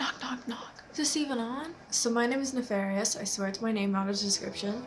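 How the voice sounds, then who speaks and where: A woman speaks at a fairly quick pace in a fairly high pitch with ordinary pitch variation, over noticeable background noise. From North America, mixed (Canada, US, US South). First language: Spanish. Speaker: YouTuber. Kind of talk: personal storytelling monologue. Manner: casual, conversational.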